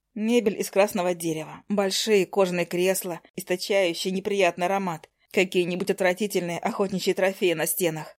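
The voice reads in an unforced way. Its intonation stays fairly even.

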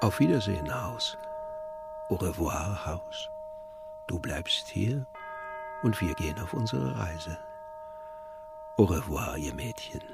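Over clear music in the background, a man performs a put-on character voice with low pitch, vocal fry and lively intonation, moving at a slow pace with long, frequent pauses.

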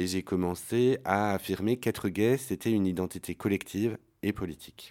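His pitch is low, and his tone is slightly mellow. The man keeps a moderate pace with ordinary pitch variation.

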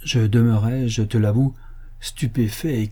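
The clip has a natural reading voice. Its intonation stays fairly even.

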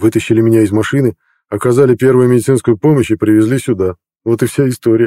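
An unforced reading voice with fairly even intonation against a quiet background.

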